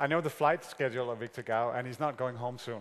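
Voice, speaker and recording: A man speaks at a fairly quick pace in a plain, everyday voice. His pitch is medium, with ordinary pitch variation. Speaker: conference moderator. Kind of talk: moderating, thanking speaker, Q&A. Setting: conference hall with audience. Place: hall.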